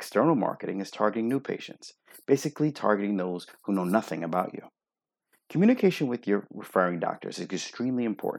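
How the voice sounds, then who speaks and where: A man speaks at a very fast pace with lively intonation and a fairly low pitch, recorded very cleanly against a silent background. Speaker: optometrist and practice owner. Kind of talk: reading aloud.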